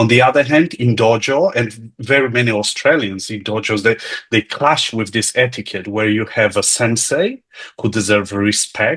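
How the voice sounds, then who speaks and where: Moderate pace and ordinary pitch variation, with a Polish accent. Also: man, medium pitch for a man. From Poland. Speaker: lecture participant. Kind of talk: casual chat.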